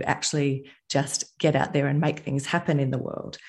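Over a quiet background, a woman talks with an Australian accent. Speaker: entrepreneur. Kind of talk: interview.

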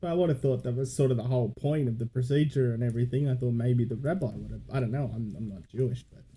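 A man's medium-pitched, dark and mellow voice, somewhat breathy, at a very fast pace with hardly any pauses, ordinary pitch variation and big swings in loudness. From Gold Coast, Queensland, Australia. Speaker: podcast co-host. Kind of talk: casual chat.

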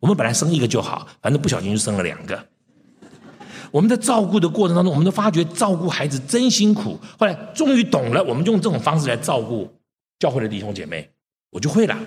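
A man with a fairly high voice talks very fast with vocal fry and very wide pitch swings, breaking often into long pauses. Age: 60s. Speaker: preacher. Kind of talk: sermon.

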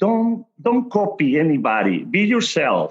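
Very wide pitch swings run through speech delivered in a Spanish accent. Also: man. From Mexico City. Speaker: tequila brand ambassador. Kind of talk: casual chat. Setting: video call.

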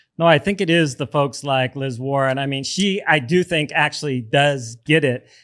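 A man with a fairly high pitch and an ordinary speaking voice, ordinary pitch variation, a moderate pace and hardly any pauses. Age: 50s. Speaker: podcast host. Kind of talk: interview. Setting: studio.

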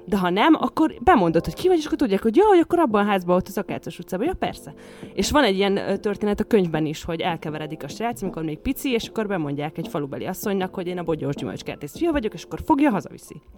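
Music plays in the background as a woman talks at a very fast pace with hardly any pauses. Her pitch swings very widely. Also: medium pitch for a woman. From western Hungary, Sopron county village. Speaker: podcast co-host. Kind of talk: casual chat.

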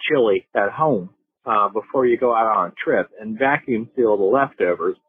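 A man in a Southern US accent at a moderate pace. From North Carolina. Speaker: caller. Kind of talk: voicemail message. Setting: phone voicemail.

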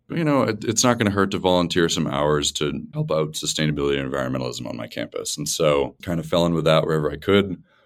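Talking at a very fast pace with hardly any pauses, a man with a very deep, low pitch uses lively intonation and some vocal fry. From US Northeast, rural central Massachusetts. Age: 20s. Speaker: startup founder. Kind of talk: interview.

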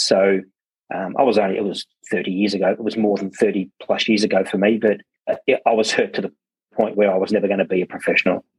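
A man talks at a very fast pace with an Australian accent. The sound is dry and close, with no echo. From Australia, Werribee (Melbourne). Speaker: plumbing business founder. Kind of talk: interview. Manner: halting.

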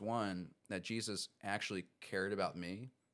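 Here is a normal speaking voice with an American accent and ordinary pitch variation. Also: man. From US Mid-Atlantic, Baltimore County, Maryland. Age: 20s. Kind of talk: casual interview chat.

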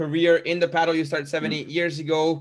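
A man speaks with a Hungarian accent. His pitch is high. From Hungary. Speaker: podcast host. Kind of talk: podcast interview. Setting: remote call.

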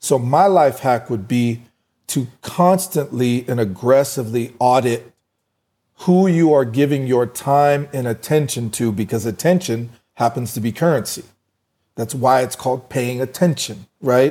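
A man with an American accent speaks in a plain, everyday voice at a medium pitch with ordinary pitch variation. He talks at a fairly slow pace on a very clean recording with a silent background. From US West (Fort Collins, Colorado). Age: 40s. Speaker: entrepreneur and boxing gym owner. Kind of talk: interview.

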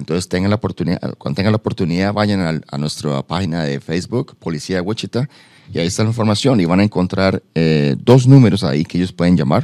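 Delivered at a very fast pace with lively intonation, the voice has a dry, close sound with no echo. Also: man, very deep, low pitch for a man. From tropical Latin American country. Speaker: police department community liaison. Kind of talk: informational interview.

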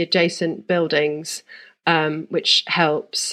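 Against a quiet background, a woman speaks in a London accent. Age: 40s. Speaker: architect. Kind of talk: casual interview.

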